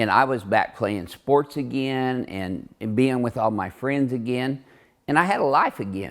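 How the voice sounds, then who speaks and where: This man has an ordinary speaking voice at a medium pitch with ordinary pitch variation. He speaks at a fairly slow pace. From southern Illinois, US. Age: 60s. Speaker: chiropractor. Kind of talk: casual chat; interview.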